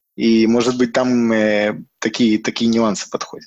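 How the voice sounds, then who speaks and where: Moderate pace with fairly even intonation. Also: man. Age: 30s. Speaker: software developer. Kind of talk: casual chat. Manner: halting.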